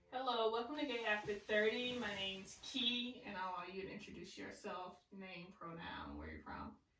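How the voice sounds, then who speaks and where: A woman with an American accent speaks at a medium pitch and moderate pace with ordinary pitch variation, hardly any pauses and big swings in loudness, against noticeable background noise. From US South, small town. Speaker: podcast host. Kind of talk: casual chat.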